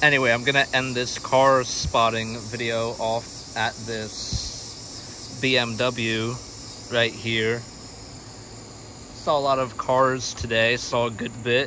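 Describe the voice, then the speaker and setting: Against light background noise, a man talks very slowly in a monotone, flat intonation, and the sound is dry with no echo. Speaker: car spotting vlogger. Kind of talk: casual vlog chat. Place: street. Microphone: phone near.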